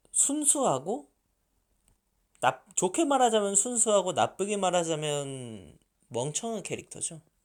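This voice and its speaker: Speaking at a very slow pace, a man makes very wide pitch swings on a very clean recording with a silent background. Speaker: fan dubbing team leader, aspiring voice actor. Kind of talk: Q&A answers, casual talk.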